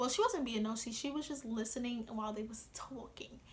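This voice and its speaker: A woman with a New York accent speaks in an animated tone at a fairly quick pace and a fairly high pitch, with noticeable background noise. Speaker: vlogger. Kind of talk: casual vlog monologue. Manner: fast.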